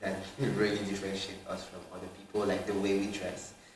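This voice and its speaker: The man's voice sits fairly low. Audible room echo is in the recording. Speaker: student. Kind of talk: casual interview.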